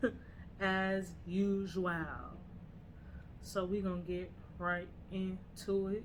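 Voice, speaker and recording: Amid audible room echo, a woman speaks at a very slow pace with medium pitch, monotone, flat intonation and long, frequent pauses. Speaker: podcast co-host. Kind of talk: casual chat.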